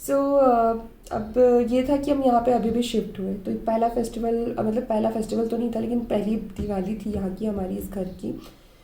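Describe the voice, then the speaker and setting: A woman's fairly high voice at a moderate pace, with audible room echo. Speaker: mommy vlogger. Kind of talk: casual vlog monologue. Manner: conversational, frequent fillers.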